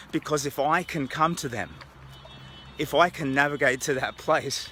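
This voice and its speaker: A man with an Australian accent, fairly high in pitch, at a moderate pace with ordinary pitch variation. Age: old. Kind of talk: casual talk to camera while walking outdoors. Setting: outdoors. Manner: halting, reflective.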